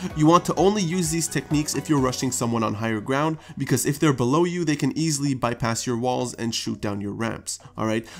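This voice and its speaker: A man with a medium-pitched voice talks at a fairly quick pace, with hardly any pauses. His intonation is lively, and music plays in the background. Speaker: gaming YouTuber. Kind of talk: game tutorial narration. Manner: casual, conversational.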